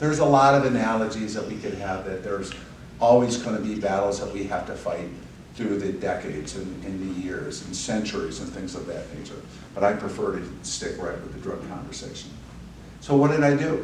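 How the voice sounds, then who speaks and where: With lively intonation and a fairly quick pace, a man speaks at a fairly low pitch, his loudness swinging widely, over noticeable background noise and audible room echo. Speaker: sheriff candidate, law enforcement leader. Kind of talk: podcast interview.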